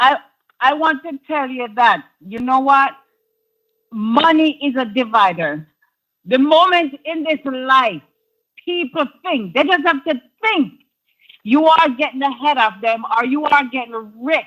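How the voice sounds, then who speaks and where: A woman speaks fairly slowly in a high, bright, sharp voice with lively intonation. Long pauses come often. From Jamaica. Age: 60s. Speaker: caller. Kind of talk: phone-in call.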